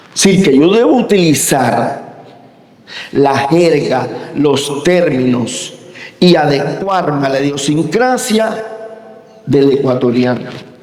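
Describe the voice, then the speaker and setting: A man's fairly high voice with lively intonation and very even loudness, at a very slow pace with long, frequent pauses, amid audible room echo and noticeable background noise. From Cuba. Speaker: university professor. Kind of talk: lecture.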